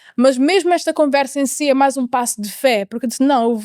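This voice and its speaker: Her voice high-pitched, a woman talks at a very fast pace with ordinary pitch variation in a dry, close sound with no echo. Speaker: mentor, interviewee sharing life story. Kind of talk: interview testimony. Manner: halting, with repetitions and English code-switching.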